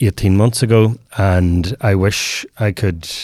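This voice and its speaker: In a Northern Irish accent, a man speaks with fairly low pitch. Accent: Northern Irish (Tyrone). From Northern Ireland, Omagh, County Tyrone. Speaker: men's mental health program co-founder. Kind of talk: interview conversation.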